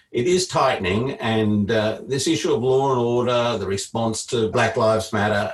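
A man talks at a moderate pace with an Australian accent and ordinary pitch variation. Music plays in the background. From Queensland, Australia. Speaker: political strategist. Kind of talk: panel talk.

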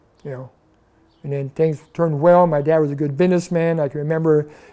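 A man with an American accent, fairly high pitch, a dark, mellow tone and a fairly quick pace. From Burbank, California. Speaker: retired drag racer. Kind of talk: interview storytelling. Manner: enthusiastic.

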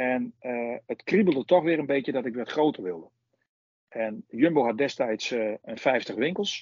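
A man's plain, everyday voice at a fairly slow pace with lively intonation. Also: medium pitch for a man. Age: 50s. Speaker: supermarket owner. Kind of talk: interview.

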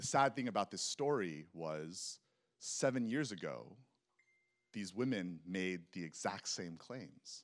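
This man talks fairly slowly in a fairly low pitch with lively intonation. He has a plain, everyday voice. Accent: American. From Texas. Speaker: preacher. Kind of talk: sermon. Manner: casual, conversational.

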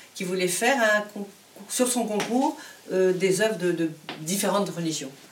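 Over audible room echo and noticeable background noise, the intonation stays lively. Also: woman. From Morocco, Casablanca. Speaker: composer. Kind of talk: conversation at a public event. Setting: luthier's workshop, live event. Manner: halting, many repetitions.

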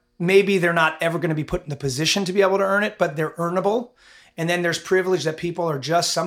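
At a very fast pace, a man speaks in a high pitch with fairly even intonation. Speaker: podcast host and school head. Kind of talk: casual interview.

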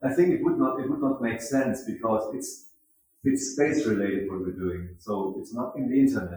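With a German accent, a man speaks at a moderate pace. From Germany, Mannheim. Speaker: festival founder and director. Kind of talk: interview. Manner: halting, repeats words.

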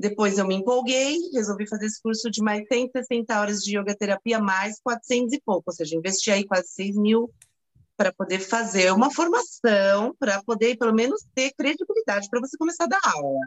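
A woman with a fairly high pitch and lively intonation talks at a moderate pace in an unremarkable speaking voice. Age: 50s. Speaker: yoga teacher. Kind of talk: testimony.

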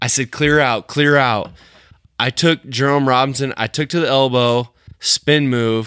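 A man with a Midwestern US accent speaks at a moderate pace and medium pitch in a bright, sharp tone with fairly even intonation. The recording is very clean and dry, close with no echo and a silent background. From rural Illinois. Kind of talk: casual chat.

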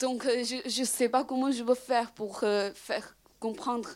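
A woman speaks with a Chinese accent. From China. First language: Chinese (speaking French). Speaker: audience member. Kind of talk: audience question. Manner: halting.

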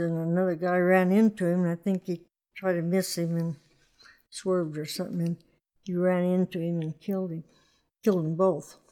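A woman speaks in a rural Western US accent with a dark, mellow tone. Her intonation is monotone and flat. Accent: rural American West. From Wyoming, Sweetwater County. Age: 80s+. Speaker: rancher. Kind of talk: interview.

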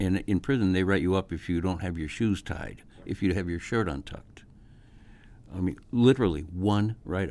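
A man's very deep, low voice with a dark, mellow tone, ordinary pitch variation and a moderate pace. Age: 70s. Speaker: public defender. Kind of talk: interview. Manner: halting.

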